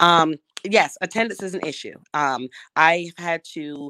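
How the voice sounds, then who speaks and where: In an American accent, a woman speaks with a fairly low pitch and a bright, sharp tone. The recording is very clean, with a silent background and a dry, close sound with no echo. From Brooklyn, New York. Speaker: school principal. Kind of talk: casual chat.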